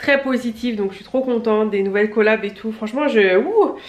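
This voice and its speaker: This woman's voice is fairly high in pitch, with ordinary pitch variation. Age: 30s. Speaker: beauty vlogger. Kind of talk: casual vlog talk to camera. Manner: fast; animated.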